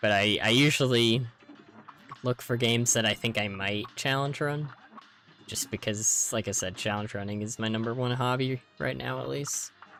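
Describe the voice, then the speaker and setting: A man speaks at a moderate pace. Background music accompanies him. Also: medium pitch for a man, ordinary pitch variation. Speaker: gaming streamer. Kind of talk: live stream chat while gaming. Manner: casual, hesitant with fillers.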